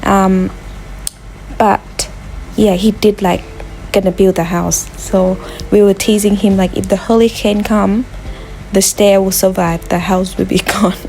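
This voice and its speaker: Noticeable background noise sits behind a woman's medium-pitched, monotone, flat delivery at very even loudness. She talks at a fairly slow pace with long, frequent pauses. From Thailand. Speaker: vlogger. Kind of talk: casual vlog narration.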